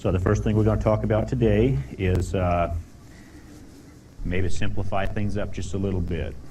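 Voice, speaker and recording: At a moderate pace, a man with a very deep, low pitch talks with lively intonation and long, frequent pauses, with audible room echo around him. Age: 30s. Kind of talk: informal talk to a group. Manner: hesitant, many fillers.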